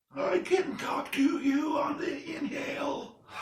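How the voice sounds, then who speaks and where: A man performs a put-on character voice at an extremely high pitch. It is raspy and delivered at a fairly slow pace. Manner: speaking on the inhale.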